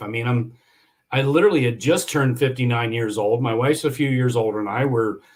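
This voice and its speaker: The voice belongs to a man at medium pitch. It sounds somewhat breathy. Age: 60s. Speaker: yacht industry entrepreneur and injury survivor. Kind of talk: podcast interview. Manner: halting with frequent repetitions.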